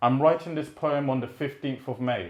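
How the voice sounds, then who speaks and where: Speaking with a London accent, the voice moves at a fairly quick pace with fairly even intonation. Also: man. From British-born, Rwandan heritage. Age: 20s. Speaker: poet. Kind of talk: spoken word poetry reading.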